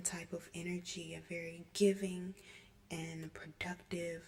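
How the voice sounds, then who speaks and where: Soft-spoken and monotone with flat intonation, a woman speaks at a very slow pace. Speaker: ASMR channel host, oracle deck reader. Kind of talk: ASMR healing chit chat for sleep, soft-spoken talk to camera.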